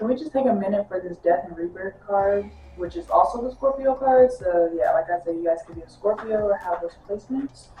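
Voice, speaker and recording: A woman's medium-pitched voice, fairly quick with hardly any pauses, lively intonation and big swings in loudness, over noticeable background noise. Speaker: tarot reader. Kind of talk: tarot reading monologue. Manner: casual, animated.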